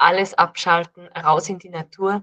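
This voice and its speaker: A woman speaks at a medium pitch. Her voice sounds dry and close, with no echo. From Austria, Salzburg. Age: 30s. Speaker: dietitian and herbalist. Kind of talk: casual interview.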